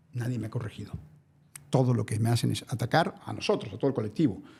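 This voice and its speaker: Somewhat breathy with a dark, mellow tone, a man speaks at a very fast pace with ordinary pitch variation and long, frequent pauses. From Mexico, Naucalpan. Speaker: environmental activist. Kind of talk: interview.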